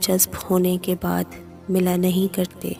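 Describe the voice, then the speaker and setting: With music in the background, a woman speaks at a medium pitch in a monotone, flat intonation. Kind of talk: poetry reading. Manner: slow, sorrowful.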